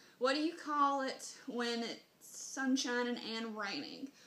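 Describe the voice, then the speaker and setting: A woman's high-pitched voice with a Southern US accent, over noticeable background noise. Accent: Southern US, country. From Southern Mississippi, US. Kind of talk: casual talk to camera.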